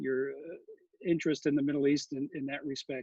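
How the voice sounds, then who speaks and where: Intonation stays fairly even in an American accent. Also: man. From New York. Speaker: moderator of a world affairs council talk. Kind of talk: interview. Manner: halting, many fillers.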